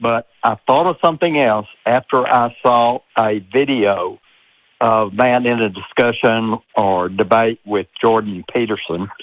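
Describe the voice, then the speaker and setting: A man with a Southern accent talks at a fairly slow pace and medium pitch, with ordinary pitch variation and very even loudness. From US South, Texas. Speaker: caller, engineer. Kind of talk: call-in discussion. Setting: phone call. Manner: hesitant.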